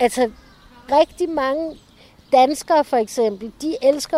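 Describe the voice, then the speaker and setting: A woman's high pitch with ordinary pitch variation at a very slow pace. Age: 50s. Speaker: tour guide and author. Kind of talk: interview.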